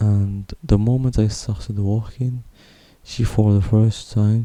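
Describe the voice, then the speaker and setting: A man's dark, mellow, fairly low voice with ordinary pitch variation and a dry, close, echo-free sound. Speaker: vlogger. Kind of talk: personal testimony. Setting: at home at night. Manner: quiet, speaking softly at night; halting. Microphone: broken pop filter, possible plosive noise.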